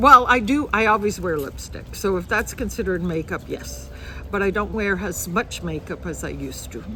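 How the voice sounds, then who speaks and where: A woman speaks at a moderate pace with big swings in loudness against noticeable background noise. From Canada. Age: 60s. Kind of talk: interview.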